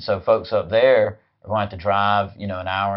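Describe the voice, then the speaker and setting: With a Southern US accent, a man speaks in a fairly low, monotone voice with flat intonation. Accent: Southern US (Georgia). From US South, rural west Georgia. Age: 40s. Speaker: political party chair. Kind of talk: interview. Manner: halting, many fillers.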